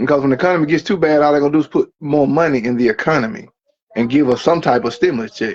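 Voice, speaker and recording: A man speaks very fast in a fairly high pitch. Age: 40s. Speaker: live-stream talk show host. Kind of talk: heated call-in debate. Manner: forceful, interrupting.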